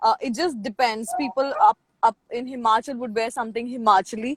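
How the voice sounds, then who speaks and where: In a Punjabi accent, a woman speaks with a high pitch and lively intonation at a fairly quick pace. The sound is dry and close, with no echo. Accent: Indian English, Punjabi. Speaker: international student representative. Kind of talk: casual interview. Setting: video call, moving around.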